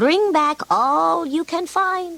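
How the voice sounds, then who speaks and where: A woman puts on a squeaky character voice, high in pitch with lively intonation. The sound is dry and close, with no echo. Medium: read story.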